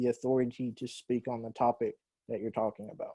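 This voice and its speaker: This man has a dark, mellow tone and a Southern US accent, recorded dry and close with no echo against a quiet background. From US South. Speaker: university English teacher. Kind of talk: lecture.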